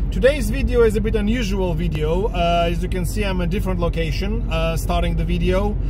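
A man talks at a moderate pace. Noticeable background noise sits behind a dry sound with no echo. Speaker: music collector vlogger. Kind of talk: casual vlog chat. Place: car. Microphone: phone near.

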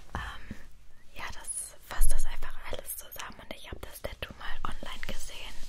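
Someone whispers in a soothing tone at a moderate pace. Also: woman. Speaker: ASMR creator. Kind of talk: ASMR whisper talk to camera, explaining her tattoos. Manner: whispered, relaxing, soothing. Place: home room. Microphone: studio mic.

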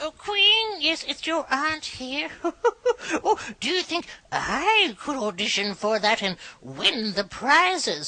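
A put-on character voice, female-sounding and high-pitched, with very wide pitch swings at a fairly slow pace.

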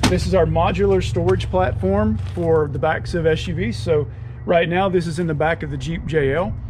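There is noticeable background noise as a man speaks in a fairly low pitch. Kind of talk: casual vlog chat and product demo. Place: street. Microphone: phone near.

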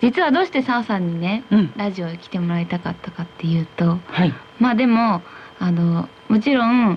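Over light background noise, a woman talks at a moderate pace with big swings in loudness. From Iwata, Shizuoka. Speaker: radio host. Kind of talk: radio talk show conversation. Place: studio.

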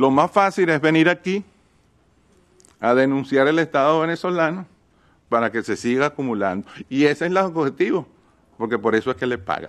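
The delivery moves at a moderate pace with lively intonation. The background is quiet. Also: man. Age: 60s. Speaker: state representative. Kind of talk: hearing testimony. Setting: hearing room.

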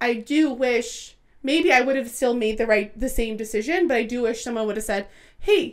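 Over a quiet background, a woman with a high pitch speaks at a moderate pace with ordinary pitch variation. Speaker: podcast co-host. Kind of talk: casual podcast conversation. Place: home room. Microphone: studio mic.

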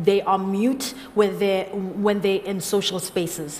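Over light background noise, a woman speaks fairly slowly at a medium pitch. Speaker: slam poet. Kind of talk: interview answer on stage. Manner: casual, hesitant. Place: stage. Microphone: headset.

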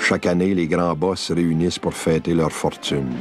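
Music plays behind a man with a very deep, low voice. He talks at a fairly slow pace with ordinary pitch variation. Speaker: filmmaker. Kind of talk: documentary narration. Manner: sententious.

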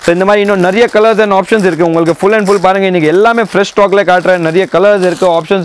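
His voice sits high in pitch, and the man's intonation is fairly even. There is light background noise and a dry sound with no echo. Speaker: saree shop seller. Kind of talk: sales pitch. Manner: pitches the same bargain price again and again. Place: shop. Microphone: phone near.

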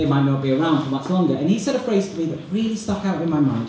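Lively intonation marks a man's fairly high-pitched voice, heard with audible room echo and light background noise. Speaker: student comedian and compere. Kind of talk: stand-up comedy. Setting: stage with audience. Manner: animated, rapid-fire, self-deprecating; cheeky, sarcastic, with mock-outrage tangents. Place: hall.

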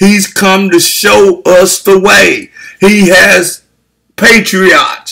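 Against a quiet background, a man uses a raised, projected voice with a bright, sharp tone at a very slow pace. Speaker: preacher. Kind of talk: sermon. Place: home room. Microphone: webcam.

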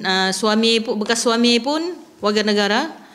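This woman's voice is fairly high in pitch and shows ordinary pitch variation. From Sabah, Malaysia. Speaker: mother of a student. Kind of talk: interview. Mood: concerned, earnest. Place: meeting room. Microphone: podium.

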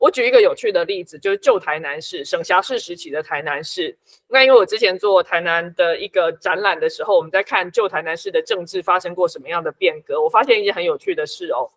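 Against a quiet background, a woman talks at a very fast pace with hardly any pauses, big swings in loudness and ordinary pitch variation. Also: medium pitch for a woman. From Taiwan. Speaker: book editor and local activist; guest. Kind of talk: interview. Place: home room.

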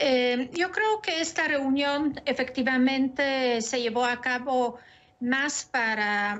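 A woman's voice, high-pitched. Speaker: professor and international relations analyst. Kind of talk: interview. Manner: hesitant, many filler pauses. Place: home room. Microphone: video call.

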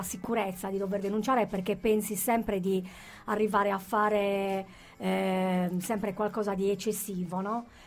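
A woman speaks at a fairly slow pace in a medium pitch. Her intonation is monotone and flat. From Sardinia, Sassari; Sardinia. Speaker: author; guest. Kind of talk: radio interview, personal testimony. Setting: radio studio. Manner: halting, many repetitions and fillers. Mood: serious, reflective. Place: studio.

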